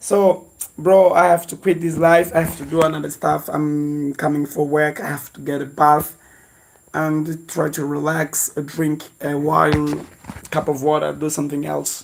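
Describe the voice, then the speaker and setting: A man speaks at a fairly slow pace in a fairly high pitch, his intonation monotone and flat. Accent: non-native. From Mozambique. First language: Portuguese. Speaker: lifestyle vlogger. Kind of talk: livestream chat. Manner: halting.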